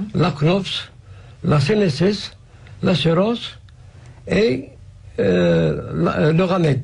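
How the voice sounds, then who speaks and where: A man with a fairly high pitch speaks at a very slow pace, his intonation lively and his voice carrying vocal fry. His loudness stays very even, there are long, frequent pauses, and room echo is audible. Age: 60s. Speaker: patient association president. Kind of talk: radio interview. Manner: halting.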